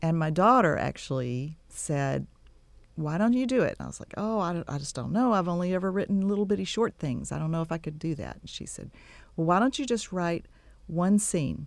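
A woman with a fairly low pitch and a plain, everyday voice speaks at a moderate pace with lively intonation, in a very clean recording with a silent background. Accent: American. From Texas Gulf Coast. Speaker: romance novelist and dentist. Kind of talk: radio interview. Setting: studio.

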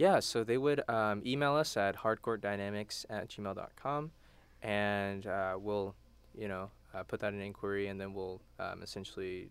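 With an American accent, a man with a normal speaking voice talks at a fairly quick pace with a fairly low pitch and ordinary pitch variation in a very clean recording with a silent background. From Texas, Houston. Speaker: college student and a cappella singer. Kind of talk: radio interview. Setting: radio studio.

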